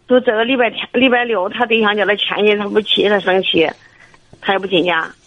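Over noticeable background noise, a woman talks with ordinary pitch variation. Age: 60s. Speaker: caller. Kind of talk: call-in advice. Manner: halting.

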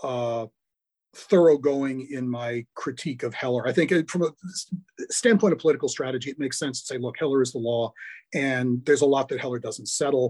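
A man talks at a fairly quick pace with an American accent and an unremarkable speaking voice. His pitch is medium, with ordinary variation. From US Midwest, Milwaukee, Wisconsin. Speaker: law professor. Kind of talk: interview.

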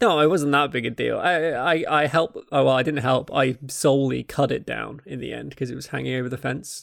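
In a southern English accent, a man talks at a fairly quick pace with hardly any pauses, in a very clean recording with a silent background. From south-east England (Kent). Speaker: podcast host. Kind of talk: casual chat.

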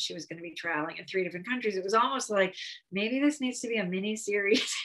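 In an American accent, a woman speaks with an ordinary speaking voice at a medium pitch with ordinary pitch variation. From Connecticut, US. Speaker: novelist. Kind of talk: interview.

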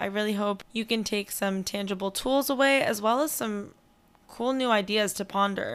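A plain, everyday voice moves at a moderate speed, its intonation fairly level. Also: woman. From US, born in Iran. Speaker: podcast host, dietitian in training. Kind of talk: interview; podcast intro.

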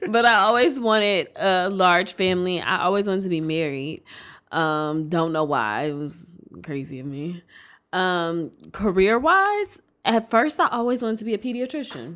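A woman with an American accent speaks at medium pitch in an animated tone with very wide pitch swings. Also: moderate pace. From Detroit, Michigan. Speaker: podcast co-host. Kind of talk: casual chat. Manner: animated, laughs often.

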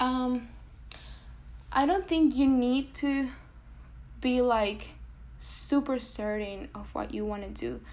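A woman with a Spanish accent talks at a very slow pace, with long, frequent pauses. Her loudness swings widely. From Venezuela. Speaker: pre-med student. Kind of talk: casual interview.

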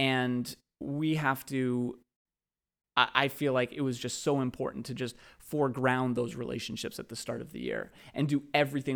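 Recorded very cleanly against a silent background, a man with a normal speaking voice and an American accent talks at a moderate pace in a medium pitch. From Boston area, Massachusetts. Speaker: high school English teacher. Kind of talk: casual chat. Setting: school teachers' lounge.

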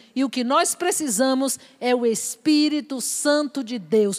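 A woman speaks with ordinary pitch variation. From Bahia, Brazil. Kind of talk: sermon; prayer. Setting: church or religious event with audience.

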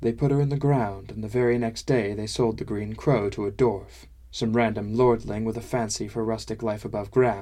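What we hear is a natural reading voice.

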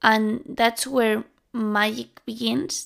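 A woman speaks in a strong Spanish accent at a fairly high pitch. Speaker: podcast host. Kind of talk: solo monologue podcast. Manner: halting.

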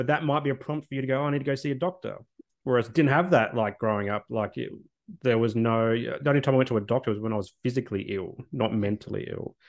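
A very fast pace with ordinary pitch variation. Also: man, medium pitch for a man. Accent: Australian. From South Australia, northern suburbs of Adelaide. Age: 30s. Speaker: social worker and podcast host. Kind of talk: interview conversation. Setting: remote call.

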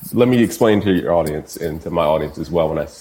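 Speaking at a very fast pace, a man with a very deep, low pitch and ordinary pitch variation is heard against noticeable background noise. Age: 30s. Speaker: music producer and tutorial creator. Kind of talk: casual interview chat.

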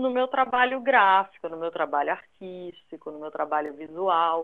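A woman's medium-pitched voice in a Recife accent, animated in tone with lively intonation, at a fairly slow pace. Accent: northeastern Brazilian (Recife) accent kept. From Recife, northeastern Brazil. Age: 40s. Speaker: graphic designer. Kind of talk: interview. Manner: talkative, animated.

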